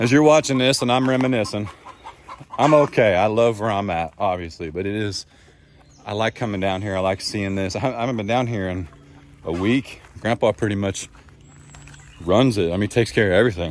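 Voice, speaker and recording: A man talks at a fairly quick pace, with ordinary pitch variation. Long pauses come often, and there is noticeable background noise. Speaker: farmer and vlogger. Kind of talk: casual vlog talk.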